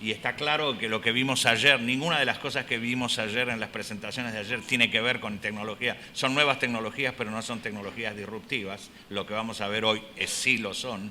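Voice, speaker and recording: Against noticeable background noise, a man with a medium pitch and fairly even intonation talks with hardly any pauses. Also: moderate pace. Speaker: health economics professor and researcher. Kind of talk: conference lecture. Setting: conference hall with audience. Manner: halting, with filler words.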